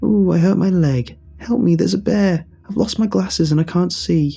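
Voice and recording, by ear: A man's put-on character voice, high in pitch, with a dark, mellow tone, a slightly husky edge, vocal fry, ordinary pitch variation, a moderate pace, and faint music in the background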